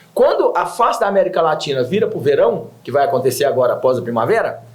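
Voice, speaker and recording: A man talks at a fairly quick pace. Audible echo fills the room around him. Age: 60s. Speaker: environmental project founder. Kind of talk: TV interview.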